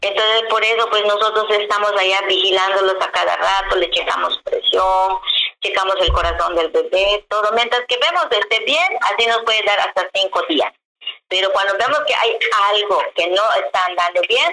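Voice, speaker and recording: A woman talks at a moderate pace with very even loudness. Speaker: traditional midwife. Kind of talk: interview.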